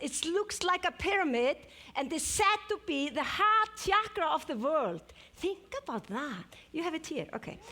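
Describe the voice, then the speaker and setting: With an Icelandic accent, a woman speaks at a fairly slow pace in an extremely high pitch with very wide pitch swings over noticeable background noise. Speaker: superfood expert. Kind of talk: live presentation. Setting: stage with audience.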